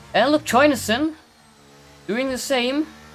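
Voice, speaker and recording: Noticeable noise sits in the background. The talking proceeds at a moderate tempo. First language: not English. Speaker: sim racing commentator. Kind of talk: live commentary. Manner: halting; animated.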